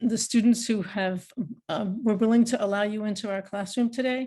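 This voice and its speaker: A woman's dark, mellow voice at medium pitch, fairly even in intonation, over a quiet background. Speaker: university professor. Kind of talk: closing remarks in a class webinar. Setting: video call webinar. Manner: halting, many fillers.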